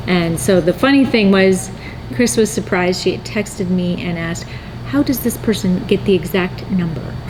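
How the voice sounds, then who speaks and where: Amid noticeable background noise, a woman with a medium pitch talks at a moderate pace with lively intonation. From North Dakota. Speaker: needle felting artist and channel host. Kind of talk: casual chat.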